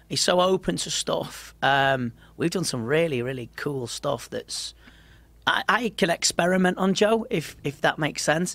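A Liverpool accent at a fairly slow pace, on a very clean recording with a silent background. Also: man, high pitch for a man. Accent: Liverpool (Scouse) English. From Liverpool, England. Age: 40s. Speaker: mind coach and kickboxing commentator. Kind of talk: casual interview chat. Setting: studio.

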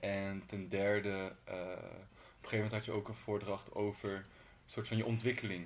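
A plain, everyday voice moves at a fairly quick pace, its intonation fairly even. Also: man, fairly low pitch for a man. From Utrecht, Netherlands. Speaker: podcast host. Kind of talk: casual interview chat. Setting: in the guest's home.

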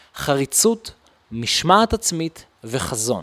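The sound is dry and close, with no echo at all. A man does the talking. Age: 20s. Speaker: podcast host, real estate entrepreneur. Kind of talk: podcast trailer monologue.

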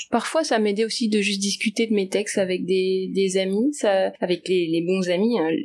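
Speaking with a plain, everyday voice, a woman keeps a medium pitch, ordinary pitch variation, very even loudness and a moderate pace with hardly any pauses. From Paris region, France. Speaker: artist and writer. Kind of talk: interview.

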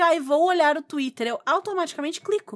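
A woman talks at a very fast clip with lively intonation. The sound is dry and close, with no echo. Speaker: podcast co-host, tabletop RPG. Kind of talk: casual chat.

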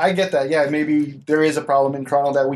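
A man talks at a fairly quick pace with fairly even intonation. He has a plain, everyday voice. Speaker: podcast co-host. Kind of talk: casual banter. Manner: joking, laid-back.

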